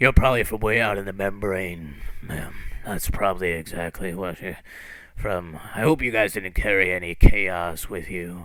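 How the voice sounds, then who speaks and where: A man puts on a character voice, raspy and very deep in pitch. He speaks at a moderate pace. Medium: actual play. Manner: warm, rambling.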